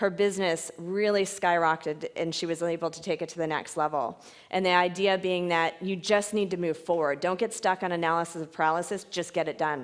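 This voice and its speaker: Hardly pausing, a woman talks at a fairly quick pace. Her fairly low voice holds fairly even intonation. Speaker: fitness franchise owner and mentor. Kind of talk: conference presentation. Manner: fast.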